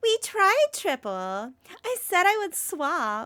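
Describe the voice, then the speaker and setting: In a put-on character voice, a woman whines at an extremely high pitch with very wide pitch swings. She speaks at a very slow pace, and the sound is dry and close with no echo. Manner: mocking.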